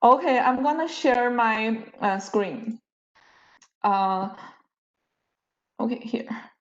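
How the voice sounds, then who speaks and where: A woman with a fairly high pitch speaks at a very slow pace, with ordinary pitch variation, long and frequent pauses, and audible room echo. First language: not English. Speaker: university lecturer. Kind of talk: lecture. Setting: video call. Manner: halting.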